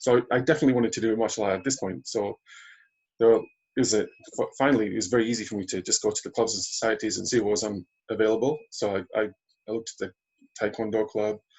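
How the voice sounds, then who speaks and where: A man's medium-pitched voice at a very fast pace, with ordinary pitch variation and long, frequent pauses. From northern England, Carlisle. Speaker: aikido practitioner. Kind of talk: interview. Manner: halting.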